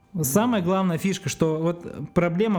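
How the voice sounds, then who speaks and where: A man speaks at a fairly quick pace. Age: 30s. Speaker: video producer. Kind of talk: casual chat. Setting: studio.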